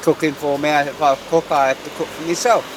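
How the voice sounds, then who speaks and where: Over noticeable background noise, a man with a London accent talks at a fairly quick pace in a fairly high pitch. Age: 70s. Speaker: coffee seller. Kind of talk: casual chat.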